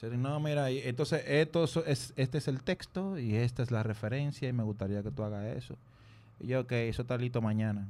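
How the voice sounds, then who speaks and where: In a Dominican accent, a man speaks at a fairly quick pace with a medium pitch and ordinary pitch variation. His tone is dark and mellow, on a very clean recording with a silent background. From Dominican Republic. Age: 30s. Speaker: music producer. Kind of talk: casual chat.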